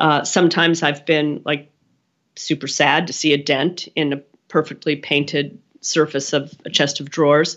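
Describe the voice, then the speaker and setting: Flat and monotone, a woman with an American accent talks at a moderate pace in a very deep, low pitch. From Pennsylvania, US. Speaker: art furniture collector. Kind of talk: interview. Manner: halting, many restarts.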